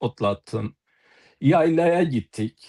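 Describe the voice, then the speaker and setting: A man with an Eastern Anatolian accent speaks at a very slow pace in a dry, close sound with no echo. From eastern Turkey, Palu (Elazığ). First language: Zazaki (speaking Turkish). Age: 60s. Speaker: poet and author. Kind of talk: panel talk on live TV. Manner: halting, many filler sounds.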